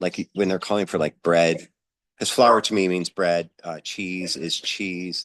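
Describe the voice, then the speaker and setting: A man's very deep, low voice, dry and close with no echo over a quiet background. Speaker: folk magic practitioner and vlogger. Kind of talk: casual vlog talk. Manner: halting, many fillers.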